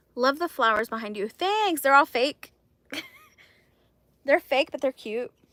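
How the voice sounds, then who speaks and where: In a raised, projected voice with a bright, sharp tone, a woman speaks high and with lively intonation at a fairly slow pace, leaving long, frequent pauses, in a dry, close sound with no echo. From Texas, Mexican-American family. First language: Spanish. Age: 30s. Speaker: crochet livestreamer. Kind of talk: casual live stream chat. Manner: animated.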